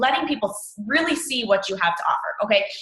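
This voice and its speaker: A woman at a fairly quick pace, her pitch swinging very widely, with audible room echo. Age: 20s. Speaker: fitness coach. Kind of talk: team training talk.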